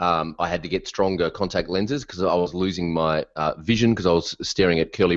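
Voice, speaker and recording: A man with an Australian accent speaks at a moderate pace with ordinary pitch variation against a quiet background. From Australia, Melbourne. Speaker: WordPress consultant, business coach. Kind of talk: podcast interview. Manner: animated.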